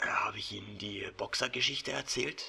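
A man whispers in a raspy, put-on character voice. He keeps a moderate pace. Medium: audio drama. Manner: warm, chatty, hesitant fillers.

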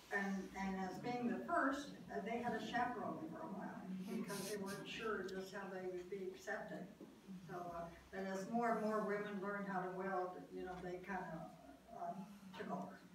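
The room echo is audible and background noise is noticeable as a woman speaks at a moderate pace. Her medium pitch shows ordinary variation. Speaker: World War II shipyard draftsman, park docent. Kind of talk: oral history talk. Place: meeting room. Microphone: camera far.

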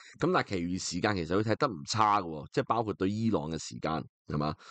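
A man speaks against a quiet background. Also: dry, close sound with no echo. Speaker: football podcast host. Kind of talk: solo football talk show. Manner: casual, filler-heavy.

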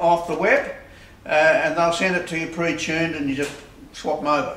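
A man speaks with a high pitch. There is light background noise and audible room echo. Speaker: presenter. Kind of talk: tutorial. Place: workshop. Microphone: camera far.

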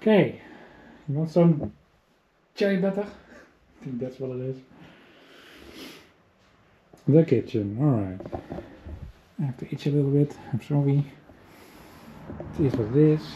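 In a dark, mellow tone that is somewhat breathy, a man speaks with lively intonation at a moderate pace, taking long, frequent pauses against light background noise. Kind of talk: casual vlog commentary. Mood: curious, slightly disgusted. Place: home room. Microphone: phone near.

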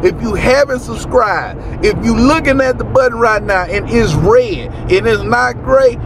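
A man speaks at a moderate pace in a dry recording with no echo and noticeable background noise. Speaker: vlogger. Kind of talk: casual vlog chat. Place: car.

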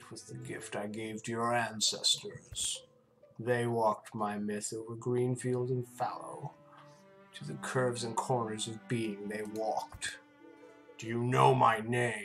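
A put-on character voice at low pitch, fairly slow in pace, over clear music in the background. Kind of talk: dramatic reading of game dialogue. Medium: game stream. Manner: crooning, menacing, grandiose.

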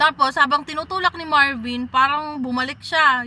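Raised and projected, a woman's high-pitched voice carries a bright, sharp tone, with fairly even intonation at a moderate pace. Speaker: vlogger. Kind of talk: casual vlog narration. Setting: at home. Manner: chatty, laughs often.

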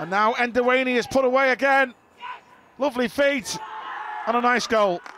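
Amid crowd noise, a raised, projected voice talks at a fairly quick pace with ordinary pitch variation and long, frequent pauses. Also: man, extremely high pitch for a man. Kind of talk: live match commentary, play-by-play. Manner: fast, urgent, excitable.

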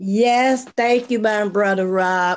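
A woman talks at a slow pace with ordinary pitch variation. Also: medium pitch for a woman.

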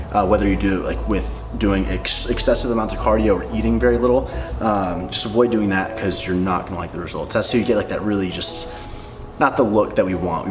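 A man talks at a very fast pace. His voice is very deep and low, with clear music in the background. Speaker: fitness creator. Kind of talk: tutorial. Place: home room.

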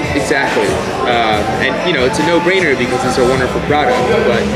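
Over loud background music, a man talks at a very fast pace with ordinary pitch variation. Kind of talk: interview answer. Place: bar.

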